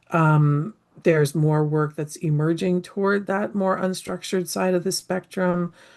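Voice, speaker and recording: A woman speaks in a plain, everyday voice, fairly low in pitch. Her intonation stays fairly even at a fairly slow pace. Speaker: anthropologist and implementation science researcher. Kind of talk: lecture.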